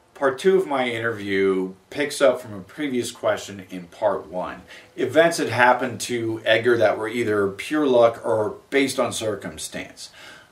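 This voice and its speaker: A man speaks with lively intonation and big swings in loudness over noticeable background noise. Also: medium pitch for a man, moderate pace, hardly any pauses. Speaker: interviewer. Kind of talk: interview introduction.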